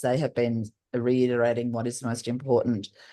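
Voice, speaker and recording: In a dark, mellow tone and an Australian accent, the speaker keeps a moderate pace against a quiet background. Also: woman. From Australia, Northern Territory. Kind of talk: panel discussion. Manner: loud; halting, many fillers.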